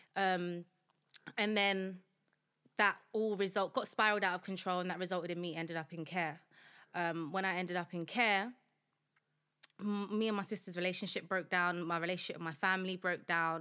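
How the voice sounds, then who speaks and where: In a very clean recording with a silent background, a woman with a South London accent speaks at a fairly quick pace in a bright, sharp tone, pausing long and often. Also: medium pitch for a woman, fairly even intonation. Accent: South London, Multicultural London English. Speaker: founder of a support movement, former prisoner. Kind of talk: podcast interview, personal life story. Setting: studio.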